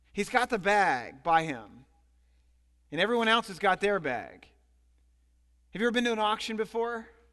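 A man with a high pitch talks in a raised, projected voice at a moderate pace, his bright, sharp tone animated and his intonation lively. He leaves long, frequent pauses over a quiet background. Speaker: pastor. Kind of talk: sermon. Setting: church. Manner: animated, preacherly; rhetorical, pausing for audience responses.

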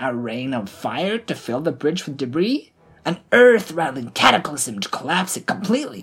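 Putting on a character voice, a woman speaks low in pitch at a moderate pace, with big pitch swings and a husky, rough edge.

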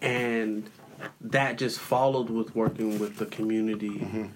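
A man talks at a fairly slow pace with an American accent, his pitch medium. His intonation is monotone and flat, and there is noticeable background noise. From San Diego, California. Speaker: hip hop artist and community leader. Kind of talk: interview conversation.

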